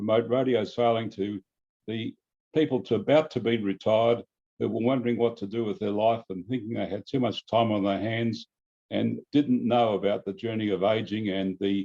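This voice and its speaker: Speaking with an Australian accent, this man's voice sits at a medium pitch. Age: 70s. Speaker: radio sailing club member. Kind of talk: interview. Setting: video call.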